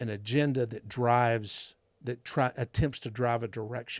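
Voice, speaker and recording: Medium-pitched man with a Texas accent, ordinary pitch variation, and a very clean recording against a silent background. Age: 60s. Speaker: school board candidate. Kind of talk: interview. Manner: halting.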